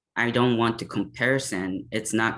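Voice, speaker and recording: In a monotone, flat delivery, a man with a Japanese accent speaks over a quiet background. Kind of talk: panel discussion.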